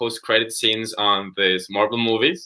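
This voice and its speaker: A man speaks with a Spanish accent at a medium pitch. His pace is fairly slow. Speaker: interviewer. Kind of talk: interview. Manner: halting.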